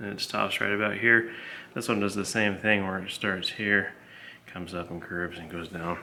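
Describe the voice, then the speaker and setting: A man with a bright, sharp tone and fairly low pitch speaks at a moderate pace with monotone, flat intonation and big swings in loudness, amid audible room echo. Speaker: hobbyist car restorer. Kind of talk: workshop tutorial vlog. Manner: casual, rambling.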